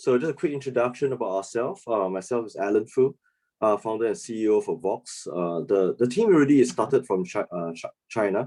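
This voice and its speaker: In a Singaporean accent, a man talks at a fairly quick pace with lively intonation and a dark, mellow tone. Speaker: startup founder and CEO. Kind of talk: business presentation.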